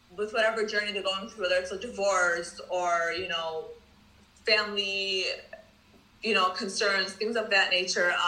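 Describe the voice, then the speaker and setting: With a Michigan accent and a medium pitch, a woman speaks at a moderate pace in a monotone, flat intonation with long, frequent pauses, over noticeable background noise and audible room echo. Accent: Michigan American. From US Midwest, Dearborn, Michigan. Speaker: social worker and founder of a support platform. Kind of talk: casual interview chat.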